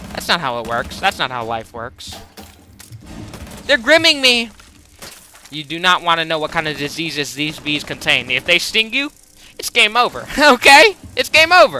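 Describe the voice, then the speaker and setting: A moderate pace broken by long, frequent pauses, over noticeable background noise. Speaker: gaming streamer. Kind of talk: live gameplay commentary. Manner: loud.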